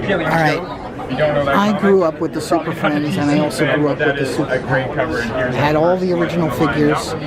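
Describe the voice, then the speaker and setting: A fairly high-pitched man at very even loudness, with audible room echo and crowd noise in the background. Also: fairly even intonation, moderate pace. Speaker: toy convention video blogger. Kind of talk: walkthrough narration at a trade show. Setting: trade show floor. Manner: quiet.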